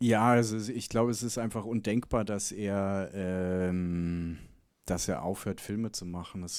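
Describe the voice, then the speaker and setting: In a very clean recording with a silent background, a man speaks at a very slow pace with a fairly low pitch and fairly even intonation. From Bavaria, Germany (Chiemgau area). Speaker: documentary filmmaker. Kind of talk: Q&A after film screening. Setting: cinema stage with audience.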